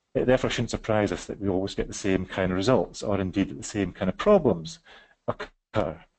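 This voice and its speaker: A man's fairly low voice at a fairly quick pace. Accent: Scottish. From West Scotland. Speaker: psychiatrist presenting a webinar. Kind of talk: webinar presentation. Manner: fast; halting, many fillers.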